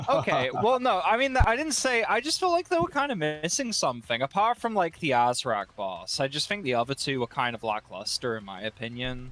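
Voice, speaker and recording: His voice is fairly high in pitch for a man, with very wide pitch swings and hardly any pauses. Noticeable background noise sits behind him. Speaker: gaming content creator. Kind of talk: panel discussion. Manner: halting; animated.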